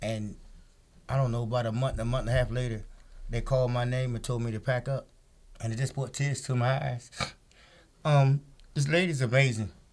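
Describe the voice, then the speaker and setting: Here a man talks at a fairly quick pace. His medium-pitched voice is somewhat breathy. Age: 60s. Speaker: jail addiction program client. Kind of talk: interview.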